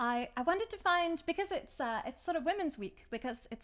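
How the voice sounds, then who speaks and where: Lively intonation marks a woman talking at a fairly quick pace. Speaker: folk musician and video host. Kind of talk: casual vlog chat. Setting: outdoors by a river. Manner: quiet.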